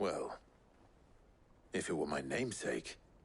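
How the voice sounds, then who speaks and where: A man speaks at a moderate pace in a put-on character voice that is raspy and very deep and low. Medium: short film. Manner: dry, sardonic.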